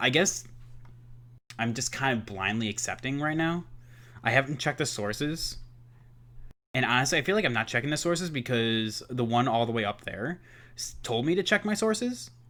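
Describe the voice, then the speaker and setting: On a very clean recording with a silent background, a man with a medium pitch and a bright, sharp tone speaks at a moderate pace, using lively intonation and long, frequent pauses. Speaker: student teacher. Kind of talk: think-aloud reading reaction. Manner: casual, filler-heavy (like, uh).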